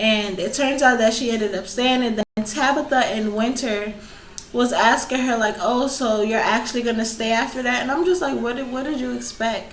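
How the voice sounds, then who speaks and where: A woman's fairly high voice at a moderate pace with ordinary pitch variation, noticeable background noise and audible room echo. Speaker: YouTuber reviewing reality TV. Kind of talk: casual vlog review. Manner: animated.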